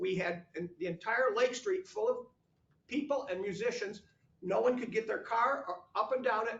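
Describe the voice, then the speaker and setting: Loud and at an extremely high pitch, a man speaks at a moderate pace with lively intonation and long, frequent pauses. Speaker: village board member. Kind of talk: heated debate.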